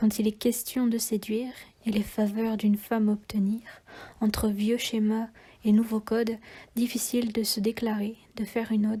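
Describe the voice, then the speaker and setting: Somewhat breathy and dark, mellow in tone, a woman speaks at a moderate pace with monotone, flat intonation. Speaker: poet. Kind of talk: slam poetry reading.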